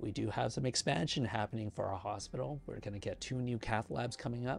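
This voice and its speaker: The man's voice is somewhat breathy and shows ordinary pitch variation. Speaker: cardiology pharmacist and YouTuber. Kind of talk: casual vlog reflection. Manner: halting, hesitant.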